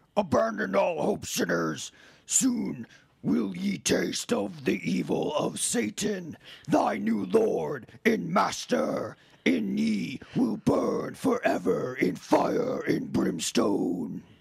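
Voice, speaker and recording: A put-on character voice, raspy and booming, with a menacing tone at a very slow pace. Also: man. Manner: booming, menacing.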